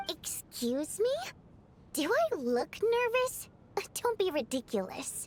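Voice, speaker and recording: A put-on character voice from a woman, extremely high-pitched with very wide swings and long, frequent pauses. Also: fairly slow pace. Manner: defensive, indignant.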